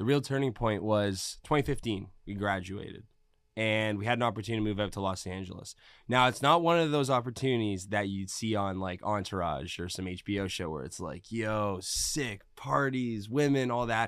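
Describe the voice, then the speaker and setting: A man's unremarkable speaking voice with a Canadian accent, fairly low in pitch, with lively intonation, a moderate pace, and a very clean recording over a silent background. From Canada, Mississauga, Ontario. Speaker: DJ and music producer. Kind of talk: casual interview.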